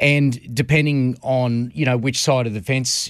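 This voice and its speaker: Against a quiet background, a man with an Australian accent speaks at a medium pitch. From Queensland, Australia (Redcliffe, north Brisbane). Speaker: harness racing commentator. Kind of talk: radio interview. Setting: radio studio.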